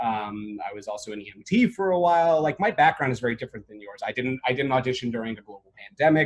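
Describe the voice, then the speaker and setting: Speech races along very fast with hardly any pauses and lively intonation. The voice has an American accent. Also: man, medium pitch for a man, big swings in loudness. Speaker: emergency medicine chief resident. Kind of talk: webinar presentation. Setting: video call. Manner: loud; animated.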